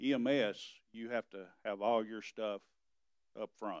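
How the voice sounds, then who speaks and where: The sound is dry with no echo, and the background stays quiet. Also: man. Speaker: EMS director giving report. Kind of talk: meeting report. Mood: concerned, frustrated. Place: hall.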